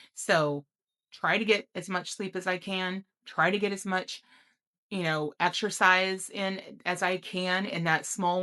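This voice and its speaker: With a normal speaking voice, a woman talks at a medium pitch that shows ordinary pitch variation. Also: very clean recording, silent background. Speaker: health vlogger. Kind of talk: personal reflection monologue.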